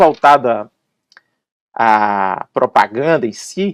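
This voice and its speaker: A man with a Bahian accent speaks with very wide pitch swings, recorded dry and close with no echo. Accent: Brazilian Portuguese, Bahian. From Brazil, Salvador (Bahia). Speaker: advertising copywriter. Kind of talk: podcast interview. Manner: casual, animated.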